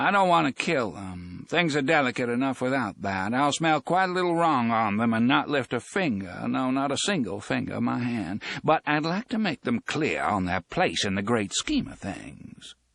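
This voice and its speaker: In a put-on character voice, the speaker sounds shrill and shaky, with very wide pitch swings, a moderate pace and hardly any pauses. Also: man, medium pitch for a man. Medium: read story. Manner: drawling, sly, folksy.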